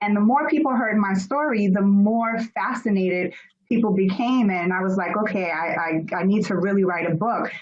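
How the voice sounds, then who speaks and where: In an American accent, a woman speaks at a moderate pace with a medium pitch and ordinary pitch variation, and the room echo is audible. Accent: Americanized. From Germany, then US from age six. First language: German. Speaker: author and personal development speaker. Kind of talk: interview.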